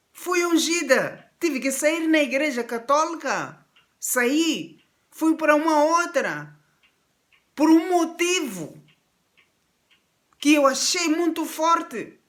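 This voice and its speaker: A woman with an extremely high pitch and ordinary pitch variation, speaking very slowly with long, frequent pauses. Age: 60s. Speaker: pastor. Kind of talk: sermon.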